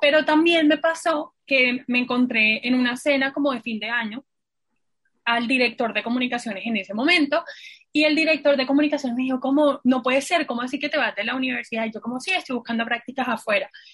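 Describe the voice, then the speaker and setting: A woman races along at a very fast pace, high in pitch with ordinary pitch variation. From Colombian Caribbean coast (Santa Marta). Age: 20s. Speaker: university graduate and staff member. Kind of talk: casual chat.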